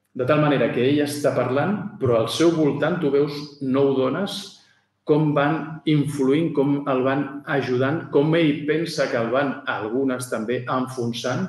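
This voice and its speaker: A man at a very slow pace with fairly even intonation, amid audible room echo. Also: quiet background. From Barcelona, Catalonia. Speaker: author. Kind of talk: book presentation talk. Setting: venue with live audience. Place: hall. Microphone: podium.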